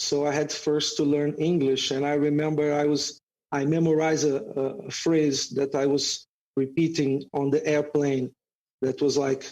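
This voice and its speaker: Very even loudness and monotone, flat intonation in a Brazilian accent. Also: man, fairly high pitch for a man, moderate pace. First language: Portuguese. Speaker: jiu-jitsu instructor. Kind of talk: podcast interview.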